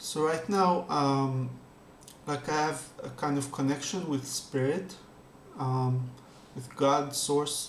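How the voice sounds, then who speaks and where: A man's fairly high voice at a very slow pace, with long, frequent pauses, fairly even intonation, audible room echo and noticeable background noise. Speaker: spiritual meditation youtuber. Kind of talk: casual talk before guided meditation. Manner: halting, many fillers; calm.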